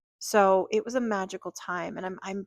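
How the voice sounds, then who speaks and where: At a moderate pace, a woman speaks with medium pitch. Her pitch variation is ordinary. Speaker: tarot reader. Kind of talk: intuitive tarot reading. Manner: casual, relaxed; loud and clear.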